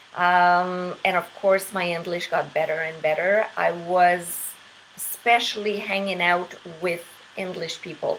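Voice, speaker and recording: Over noticeable background noise, a woman speaks very slowly in a fairly low pitch with monotone, flat intonation. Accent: slight French. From Quebec. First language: French. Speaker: English teacher. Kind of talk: casual monologue. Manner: hesitant with many fillers.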